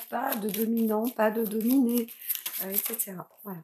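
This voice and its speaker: A woman's fairly high-pitched voice, with fairly even intonation, comes through noticeable background noise. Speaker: tarot reader / astrologer. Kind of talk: tarot reading for viewers. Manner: hesitant, many fillers.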